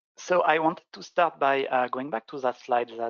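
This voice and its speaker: Speaking at a moderate pace with a French accent, a man keeps his intonation fairly even. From France. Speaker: software consultant presenter. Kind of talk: webinar product demo. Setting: online webinar.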